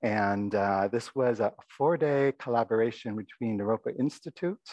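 This man is soft-spoken, with a slightly mellow tone and a medium pitch. His pace is moderate and his pitch variation ordinary.

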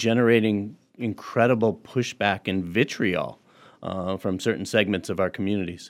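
On a very clean recording with a silent background, a man with a normal speaking voice talks in a fairly low pitch with fairly even intonation. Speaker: education administrator. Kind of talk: radio interview. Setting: radio studio.

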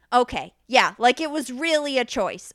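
The voice is loud and animated, with a bright, sharp tone and ordinary pitch variation. It sounds dry and close with no echo on a very clean recording with a silent background. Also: woman. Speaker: podcast co-host. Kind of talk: casual chat. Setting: studio.

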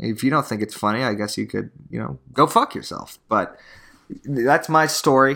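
A man speaks at a moderate pace in a bright, sharp tone with vocal fry, his pitch swinging very widely. The recording is very clean, with a silent background. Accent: American. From Tucson, Arizona. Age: 20s. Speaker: real estate agent, podcaster. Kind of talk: casual monologue storytelling. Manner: stumbling, repetitive.

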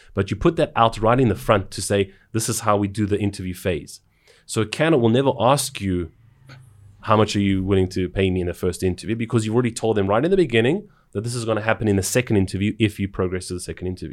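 On a very clean recording with a silent background, a man with a South African accent and fairly low pitch talks at a very fast pace with ordinary pitch variation. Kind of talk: casual conversation.

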